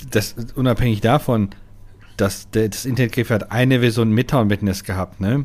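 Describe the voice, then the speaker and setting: At a moderate pace, a man talks in a normal speaking voice of medium pitch, with fairly even intonation. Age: 30s. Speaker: gaming podcast co-host. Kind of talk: casual chat.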